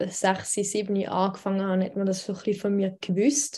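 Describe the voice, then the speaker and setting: In a very clean recording with a silent background, a woman speaks fairly quickly at a medium pitch, her tone dark, mellow and somewhat breathy. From Switzerland. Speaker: radio news editor and poetry slam author. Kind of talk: casual interview.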